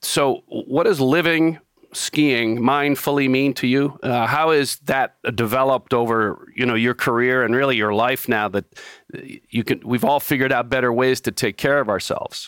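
This man has a plain, everyday voice at medium pitch, with ordinary pitch variation and very even loudness. He talks at a moderate pace, and the sound is dry and close with no echo. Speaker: podcast host. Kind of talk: podcast hosting and interview.

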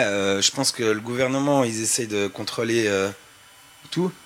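Noticeable background noise sits behind a man speaking at a fairly slow pace, with a medium pitch and ordinary pitch variation. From French-speaking Switzerland, Montreux. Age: 30s. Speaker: graffiti artist and skateboarder. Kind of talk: panel discussion. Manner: casual, halting.

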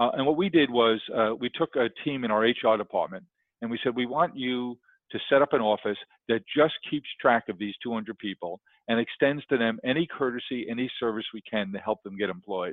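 A man with a New York accent, medium pitch, ordinary pitch variation and a moderate pace. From New York, South Queens. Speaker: entrepreneur. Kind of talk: interview.

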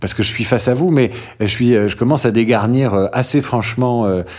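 A man talks at a moderate pace and a medium pitch. He has an unremarkable speaking voice. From France, Normandy and Marseille. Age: 40s. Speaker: radio journalist. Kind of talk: casual interview.

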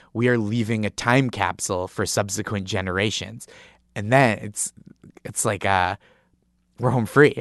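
Over a quiet background with a dry, close sound and no echo, a man with an American accent talks at a moderate pace in a fairly low pitch, with ordinary pitch variation and long, frequent pauses. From Massachusetts, north of Boston. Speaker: comedy writer and comedian. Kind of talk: storytelling interview. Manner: animated, laughing.

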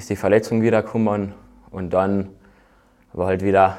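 A man is speaking. His pitch sits fairly low. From Austria, Carinthia (Völkermarkt). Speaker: bobsleigh athlete. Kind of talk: casual interview.

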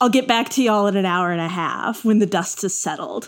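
An ordinary speaking voice from a woman with an American accent, medium in pitch and fairly quick in pace, on a very clean recording with a silent background. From Texas. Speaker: podcast host, tech editor. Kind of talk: casual chat.

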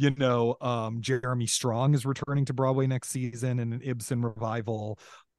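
Against a quiet background, a man talks in a monotone, flat intonation. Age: 40s. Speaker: author and theater historian. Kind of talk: casual interview conversation.

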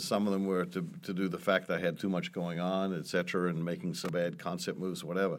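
This man has a very deep, low pitch. He speaks with an American accent and fairly even intonation. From New Zealand. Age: 60s. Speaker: restaurant owner and entrepreneur. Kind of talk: interview.

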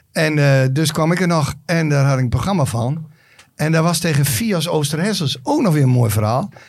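Speaking at a moderate pace, a man uses a fairly high, somewhat breathy voice with ordinary pitch variation and very even loudness. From Drenthe, Netherlands. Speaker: podcast sidekick. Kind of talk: casual chat.

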